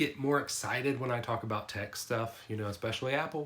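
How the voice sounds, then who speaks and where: This man talks at a fairly quick pace with a medium pitch, fairly even intonation and a bright, sharp tone. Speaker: tech youtuber. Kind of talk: product review. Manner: casual.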